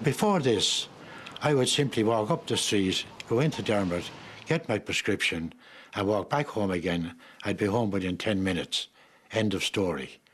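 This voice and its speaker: An Irish-accented man speaks at a moderate pace in a fairly low pitch, with lively intonation. His loudness stays very even, broken by long, frequent pauses. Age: 80s+. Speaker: retiree, village resident. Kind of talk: interview.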